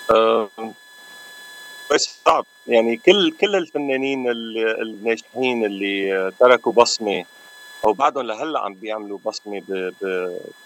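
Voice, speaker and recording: Against noticeable background noise, a man speaks at a fairly slow pace. His pitch sits in the medium range with ordinary variation. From Aleppo, Syria. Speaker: musician. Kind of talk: radio interview.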